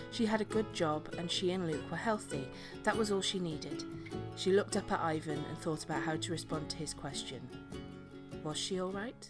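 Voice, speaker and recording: A woman's very deep, low voice with very wide pitch swings, over music in the background. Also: moderate pace. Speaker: voice actor. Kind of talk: audiobook reading.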